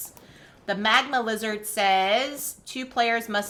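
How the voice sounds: The voice heard is a natural reading one.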